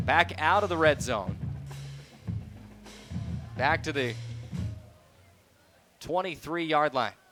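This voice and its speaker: A man's fairly high voice with lively intonation, very slow and full of long, frequent pauses, over music in the background. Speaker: sports radio play-by-play announcer. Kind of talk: live football radio play-by-play broadcast.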